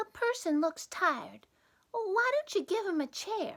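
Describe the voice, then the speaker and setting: A woman puts on a squeaky character voice at an extremely high pitch, swinging very widely in pitch at a fairly slow pace. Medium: read story. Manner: firm, motherly.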